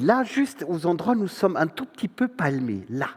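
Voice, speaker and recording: A man with a slight German accent speaks at a high pitch and a fairly slow pace. His pitch swings very widely. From northern Germany. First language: German (speaking French). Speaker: stage performer. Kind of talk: theatre monologue. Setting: stage with audience.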